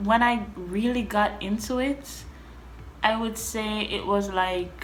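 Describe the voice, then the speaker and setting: There is audible room echo as a woman speaks in a fairly high pitch. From Jamaica. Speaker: vlogger. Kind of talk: casual chat.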